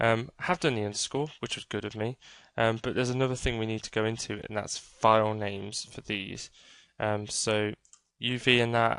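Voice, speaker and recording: A British accent comes through. The speed is moderate. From Britain. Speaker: 3D game art tutor. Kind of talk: screen-recorded tutorial. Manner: casual, many fillers and hesitations.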